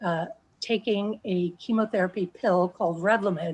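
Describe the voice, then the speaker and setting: The voice is somewhat breathy, with fairly even intonation. The background is quiet. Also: woman. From New Jersey. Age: 60s. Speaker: patient sharing her story. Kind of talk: testimony. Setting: video call.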